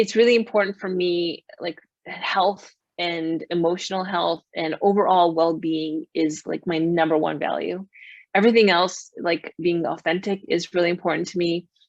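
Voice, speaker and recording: A woman with an American accent has an unremarkable speaking voice, fairly low in pitch, with fairly even intonation at a moderate pace. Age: 40s. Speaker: life coach. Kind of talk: interview.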